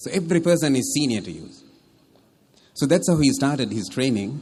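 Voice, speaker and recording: A man with a confident tone and vocal fry talks at a fairly quick pace, with fairly high pitch and lively intonation. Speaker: military officer and public speaker. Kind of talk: wedding toast speech. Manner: humorous, confident, well-paced stage delivery.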